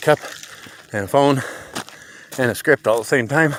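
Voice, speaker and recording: With an American accent, a man speaks at a moderate pace and medium pitch over noticeable background noise. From Montana. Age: 50s. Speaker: vlogger. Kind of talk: casual monologue while hiking. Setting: outdoors on a trail. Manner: unscripted, rambling.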